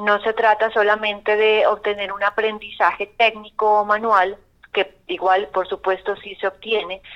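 A woman speaks with music in the background. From Colombia, not Antioquia. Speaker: arts course coordinator. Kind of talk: radio interview.

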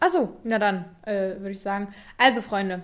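A woman with a normal speaking voice talks at a moderate pace and with fairly even intonation. Her recording is very clean, with a silent background. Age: 20s. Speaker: YouTuber and podcast co-host. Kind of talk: casual chat.

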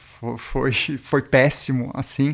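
In a very clean recording with a silent background, a man speaks in a monotone, flat intonation at a very slow pace. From Brazil and Switzerland. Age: 40s. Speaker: brand founder, snowboarder. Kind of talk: interview. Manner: hesitant, filler-heavy.

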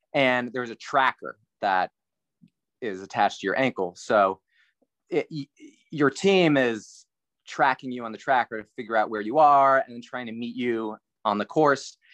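A man with an American accent at medium pitch and ordinary pitch variation, moderate pace, long and frequent pauses and big swings in loudness, dry and close with no echo over a quiet background. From South Central Pennsylvania. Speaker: triathlon coach. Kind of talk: casual chat.

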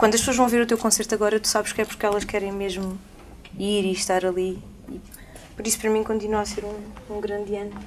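Amid noticeable background noise, a woman at medium pitch talks at a very fast pace in a flat monotone, broken by long, frequent pauses. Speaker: singer. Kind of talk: casual chat. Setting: studio.

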